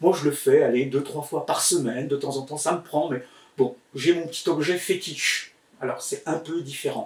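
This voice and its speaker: Over noticeable background noise, a man with a fairly high voice speaks at a moderate pace. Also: fairly even intonation. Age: 60s. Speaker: healer and magnetizer teaching online. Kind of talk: tutorial. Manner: hesitant, many filler words.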